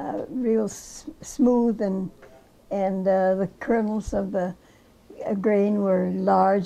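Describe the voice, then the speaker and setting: In an Upper Midwest accent, this dark, mellow voice moves at a very slow pace with fairly even intonation. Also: woman. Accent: Upper Midwest American. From rural Minnesota. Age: old. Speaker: crop artist. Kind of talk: interview answer.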